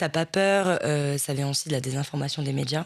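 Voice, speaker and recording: This woman's voice sits at a very deep, low pitch, with fairly even intonation at a moderate pace. The recording is very clean, with a silent background. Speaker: interviewer. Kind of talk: interview conversation.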